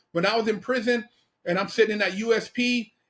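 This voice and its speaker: Bright, sharp tone with ordinary pitch variation at a fairly quick pace, on a very clean recording with a silent background. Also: man. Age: 50s. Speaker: podcast host, formerly incarcerated. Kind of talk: casual interview chat.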